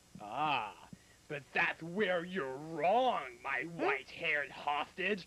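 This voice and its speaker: In a cartoonish character voice at a middle pitch, the speaker delivers the lines at a very slow pace. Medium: puppet. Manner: menacing.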